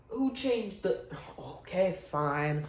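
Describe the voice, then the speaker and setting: A man speaks with audible room echo. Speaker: baseball YouTuber. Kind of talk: casual video commentary. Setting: bedroom. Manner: casual, joking.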